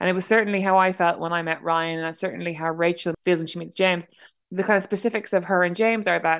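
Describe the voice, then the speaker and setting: A woman with an Irish accent speaks at a fairly low pitch with fairly even intonation. The background is quiet. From Ireland. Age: 30s. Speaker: novelist. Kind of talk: interview. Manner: halting.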